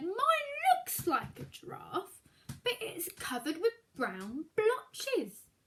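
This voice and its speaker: A woman puts on a character voice at an extremely high pitch, with very wide pitch swings. She speaks at a very slow pace. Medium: read story. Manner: practical, calm.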